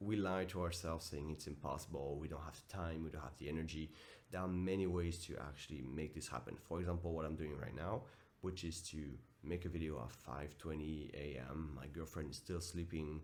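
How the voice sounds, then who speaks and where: With audible room echo, a man talks at a fairly quick pace in a very deep, low pitch with fairly even intonation. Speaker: self-improvement vlogger and coach. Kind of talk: motivational vlog monologue. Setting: at home early morning. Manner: casual, direct.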